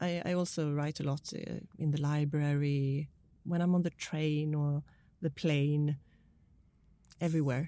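A woman with a Swedish accent speaks in a very deep, low, dark and mellow voice, flat and monotone. Her pace is fairly slow, broken by long, frequent pauses. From Sweden. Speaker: crime novelist. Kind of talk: interview. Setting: studio.

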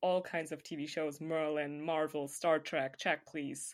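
In a very clean recording with a silent background, a woman with a fairly low pitch speaks with monotone, flat intonation. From Germany. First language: German. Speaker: podcast co-host, hockey fan. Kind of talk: casual chat.

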